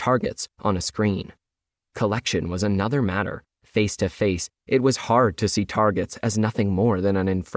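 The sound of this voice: The reading voice is unforced. All around it, the background is quiet.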